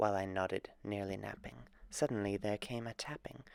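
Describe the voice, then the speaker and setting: This man has a plain, everyday voice at a fairly low pitch with ordinary pitch variation. He speaks at a moderate pace, and the sound is dry and close with no echo. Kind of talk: dramatic poetry reading.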